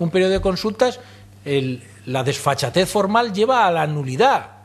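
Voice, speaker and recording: A man talks at a fairly quick pace. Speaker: speaker. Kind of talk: lecture. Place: hall. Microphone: podium.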